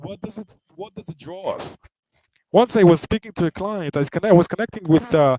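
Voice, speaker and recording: A high-pitched man with a non-native accent, fairly quick, with big swings in loudness. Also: ordinary pitch variation, dry, close sound with no echo. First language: not English. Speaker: trading webinar presenter. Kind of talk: webinar lecture. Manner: halting, many fillers and restarts.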